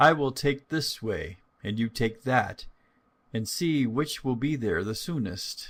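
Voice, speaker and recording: Gruff put-on character voice from a man, medium pitch, at a fairly slow pace. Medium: read story. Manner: sly, deceitful.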